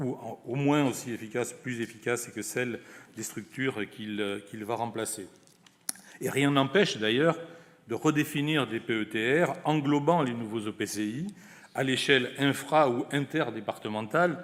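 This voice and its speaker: Fairly slow and at medium pitch, a man with a southwestern French accent speaks with ordinary pitch variation. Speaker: senior government official. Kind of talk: closing speech. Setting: conference with audience. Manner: formal.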